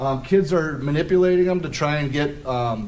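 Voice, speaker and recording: A man's voice carries audible room echo and noticeable background noise as he talks at a moderate pace, his intonation fairly even. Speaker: police officer. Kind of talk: presentation talk. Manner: loud.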